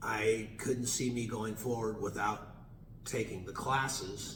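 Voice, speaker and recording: Over noticeable background noise and audible room echo, a man speaks with fairly even intonation. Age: 60s. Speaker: chiropractor. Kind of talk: interview. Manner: halting.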